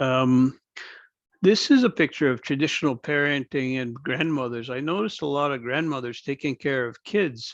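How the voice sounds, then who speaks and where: Against a quiet background with a dry, close sound and no echo, a man with a Canadian accent speaks at a moderate pace and a fairly high pitch with ordinary pitch variation. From Akwesasne Mohawk Nation. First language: Mohawk speaker. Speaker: First Nation band executive director. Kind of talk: informal mentorship presentation. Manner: conversational, with hesitations.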